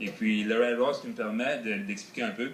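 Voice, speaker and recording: A man with an Acadian accent speaks with lively intonation, and the room echo is audible. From northern New Brunswick (Acadia). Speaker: car builder. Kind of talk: TV interview. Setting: outdoors. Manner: hesitant.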